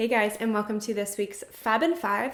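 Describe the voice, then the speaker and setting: Noticeable background noise sits behind a woman with an animated tone. Her pitch is fairly high, with ordinary variation. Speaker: beauty vlogger. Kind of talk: product review. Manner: fast.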